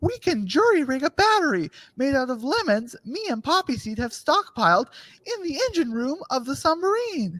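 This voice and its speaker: This is a put-on character voice with a high pitch. It moves at a moderate pace with very wide pitch swings. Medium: audio drama. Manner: matter-of-fact.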